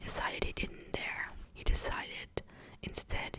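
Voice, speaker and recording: Fairly slow whispered words from a woman, noticeable noise in the background. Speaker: ASMR creator. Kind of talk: whispered ASMR book reading. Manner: whispered, soft, close-mic.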